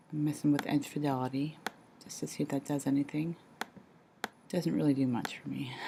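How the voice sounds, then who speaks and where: A woman whispers at a fairly quick pace. Her speech has long, frequent pauses. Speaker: art teacher making a tutorial. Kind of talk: tutorial. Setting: at home. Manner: whispering; halting, many fillers.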